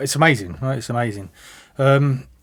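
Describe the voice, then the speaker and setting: A man with a southern English accent speaks at a medium pitch. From London. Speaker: music production student and DJ. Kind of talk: interview. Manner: hesitant, many repetitions.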